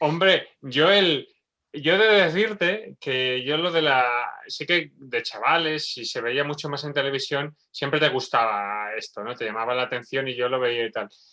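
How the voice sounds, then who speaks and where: Speaking in an Aragonese accent, a man talks at a fairly slow pace with a fairly high pitch. His tone is bright and sharp and his intonation is lively. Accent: Spanish from Spain (Aragon). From Spain, Zaragoza. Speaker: neurobiologist. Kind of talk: casual chat.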